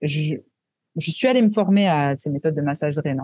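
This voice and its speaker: With lively intonation and a dark, mellow tone, the voice moves at a fairly slow pace in a dry, close sound with no echo. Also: woman. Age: 30s. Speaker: wellness entrepreneur, former nurse. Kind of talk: interview.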